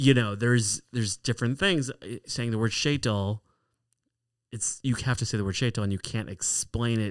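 An unremarkable speaking voice with an American accent, moderate pace and ordinary pitch variation, in a very clean, dry, close recording with no echo and a silent background. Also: man, medium pitch for a man. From Chicago area (Skokie), US. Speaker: stand-up comedian. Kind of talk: casual interview chat. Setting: studio (office).

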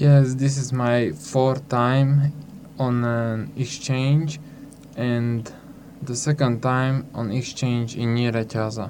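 Over noticeable background noise, a man with a Hungarian accent speaks at a very slow pace. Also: medium pitch for a man, fairly even intonation. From Slovakia. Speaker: youth exchange participant.

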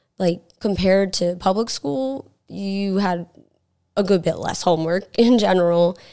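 Speaking at a fairly slow pace with an American accent, a woman has a medium-pitched voice with a dark, mellow tone and ordinary pitch variation. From US South, South Carolina. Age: 20s. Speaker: singer living with cystic fibrosis. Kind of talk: casual interview. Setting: studio.

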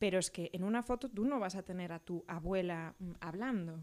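With a normal speaking voice, a woman talks at a moderate pace with ordinary pitch variation. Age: 30s. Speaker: film script supervisor. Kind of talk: casual chat.

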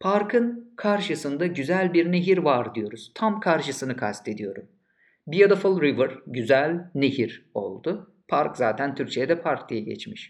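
A man with a fairly high pitch talks at a very slow pace, his voice swinging very widely in pitch and dropping into vocal fry. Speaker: English teacher. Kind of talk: lecture. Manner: clear, didactic.

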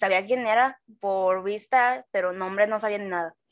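Using a plain, everyday voice, a woman speaks at a fairly high pitch with fairly even intonation. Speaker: podcast co-host. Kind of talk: casual chat.

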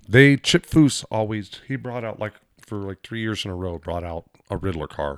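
In an American accent, a man with a fairly low pitch and a plain, everyday voice talks at a moderate pace with lively intonation and big swings in loudness, the sound dry and close with no echo on a very clean recording with a silent background. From Southern California, Lakeside. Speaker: podcast guest. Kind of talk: casual chat. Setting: studio.

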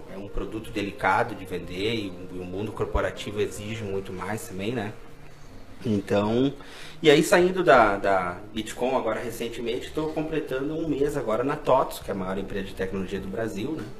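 A medium-pitched man in a Rio Grande do Sul accent, with lively intonation and big swings in loudness, plus noticeable background noise and audible room echo. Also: moderate pace. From Brazil, Caxias do Sul. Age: 30s. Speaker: salesman and former political aide. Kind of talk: casual interview.

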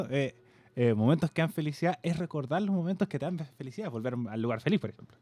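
A man with a Chilean accent talks at a very fast pace, his pitch swinging very widely in a dark, mellow tone. The recording is very clean, with a silent background. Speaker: podcast co-host. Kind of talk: casual chat.

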